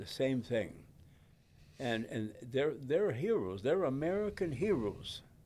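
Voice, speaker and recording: Very wide pitch swings at a very slow pace. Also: man, medium pitch for a man. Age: 90s. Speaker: war veteran. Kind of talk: interview.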